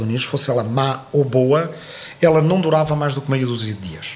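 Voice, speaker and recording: A man's fairly high-pitched voice against noticeable background noise. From southern Portugal. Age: 40s. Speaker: historian and political commentator. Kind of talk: interview. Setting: studio. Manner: halting.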